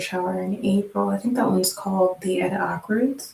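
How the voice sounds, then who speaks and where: A woman is soft-spoken with a calm tone. She keeps a moderate pace. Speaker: livestreamer doing hair. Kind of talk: casual livestream chat. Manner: calm, low-key.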